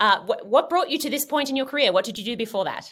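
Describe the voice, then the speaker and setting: With an Australian accent, a woman talks at a very fast pace in a fairly high, bright, sharp voice with very wide pitch swings, on a very clean recording with a silent background. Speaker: podcast host, astronomer. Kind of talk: interview. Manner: animated.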